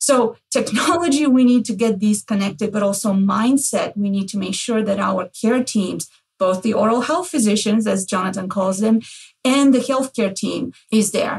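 Somewhat breathy, this voice moves at a moderate pace with ordinary pitch variation. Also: woman, fairly high pitch for a woman. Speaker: healthcare executive, podcast host.

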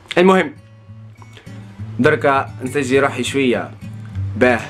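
A man with faint music in the background. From Algeria. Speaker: travel vlogger. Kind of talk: casual vlog talk to camera. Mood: playful, upbeat.

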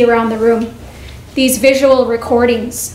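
A woman speaks at a high pitch in a monotone with flat intonation, with light background noise and audible room echo. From Canada. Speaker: vice principal. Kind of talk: presentation. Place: meeting room. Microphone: podium.

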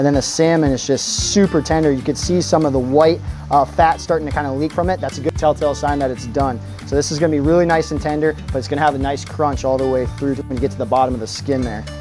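Clear music in the background behind a man at a very fast pace with ordinary pitch variation. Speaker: store grill demonstrator. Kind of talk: cooking tutorial. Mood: upbeat, friendly. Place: garden.

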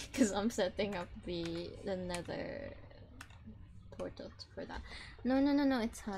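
Speaking at a fairly slow pace, a woman leaves long, frequent pauses while her loudness swings widely. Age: 20s. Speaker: game streamer. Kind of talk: casual chat.

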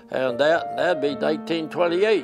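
Clear music plays in the background while a man speaks. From British Columbia, Canada. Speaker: interviewee recalling his youth. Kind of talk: interview answer. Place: home room. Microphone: lapel.

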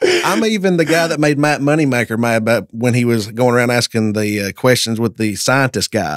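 A man talks at a fairly quick pace with hardly any pauses. His intonation is lively. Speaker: podcast guest. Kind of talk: interview answer, storytelling. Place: studio. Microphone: studio mic.

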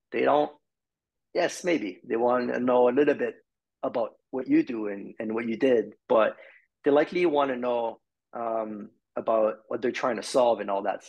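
In a quiet background, a man with a Quebec accent speaks at a moderate pace, his medium pitch carried by lively intonation. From Quebec, Montreal. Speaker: marketing executive; podcast guest. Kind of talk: interview. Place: home room. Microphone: video call.

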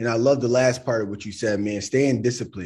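The voice is somewhat breathy, with a dark, mellow tone and ordinary pitch variation. The background is quiet. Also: man. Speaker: livestream host. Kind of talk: casual hosting. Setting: livestream. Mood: warm, appreciative. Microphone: video call.

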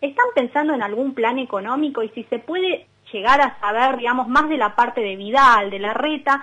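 A woman talks with a high pitch and lively intonation. Her pace is moderate. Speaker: radio co-host. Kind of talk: radio interview.

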